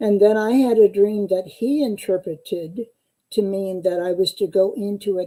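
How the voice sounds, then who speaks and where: In a US Midwestern accent, a woman speaks at a fairly slow pace. Her medium-pitched voice has a dark, mellow tone and ordinary pitch variation. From US Midwest (eastern Iowa). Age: 80s+. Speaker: psychotherapist and dream analyst. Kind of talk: interview.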